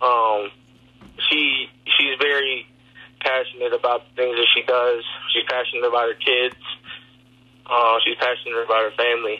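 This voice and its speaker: At a moderate pace and medium pitch, a man talks in a monotone, flat intonation with very even loudness and long, frequent pauses. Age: 20s. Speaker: college football player. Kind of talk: casual interview. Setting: in a car.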